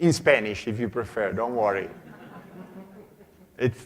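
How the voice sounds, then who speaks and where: At a fairly slow pace, a man talks with a medium pitch. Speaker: conference speaker, consultant. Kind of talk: conference talk. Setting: stage with audience. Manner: hesitant with fillers.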